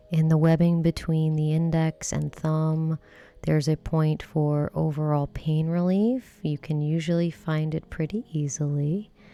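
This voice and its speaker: Soft-spoken and relaxed in tone, a woman with a very deep, low, dark and mellow voice speaks fairly slowly with fairly even intonation. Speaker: massage therapist and self-care instructor. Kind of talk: relaxation self-care instruction, ASMR-style demonstration. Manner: soft-spoken, slow, relaxed.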